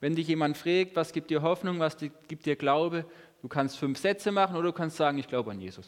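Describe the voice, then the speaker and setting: Using an ordinary speaking voice, a man talks fairly quickly at a fairly high pitch with ordinary pitch variation. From southern Baden, Germany (Lörrach). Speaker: lay preacher. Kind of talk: sermon.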